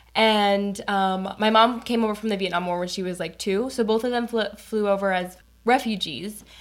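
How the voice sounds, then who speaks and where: With a General American accent, a woman speaks at a moderate pace and medium pitch, using fairly even intonation in an unremarkable speaking voice. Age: 20s. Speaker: college student. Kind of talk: casual interview chat.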